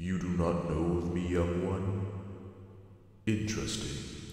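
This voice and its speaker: Doing a put-on character voice, a man speaks with a very deep, low pitch at a fairly slow pace in monotone, flat intonation, with strong echo and light background noise. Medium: read story. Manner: menacing.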